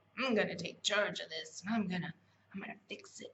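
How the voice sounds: Putting on a character voice in a Southern US accent, a woman with a medium pitch and a raspy tone talks at a fairly quick pace, her loudness swinging widely. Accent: Southern American.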